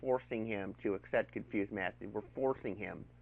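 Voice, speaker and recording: At a moderate pace, a man is speaking. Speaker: YouTube commentator. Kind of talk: response video commentary.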